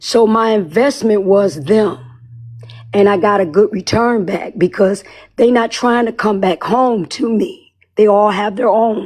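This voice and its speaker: A woman speaks in an unremarkable speaking voice, fairly high in pitch, with ordinary pitch variation at a fairly slow pace. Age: 60s. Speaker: listener participant, parent. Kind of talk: casual group discussion.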